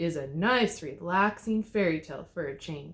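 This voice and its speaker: Growling in a put-on character voice, the speaker holds a middle pitch. The pace is moderate. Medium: read story. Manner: growly.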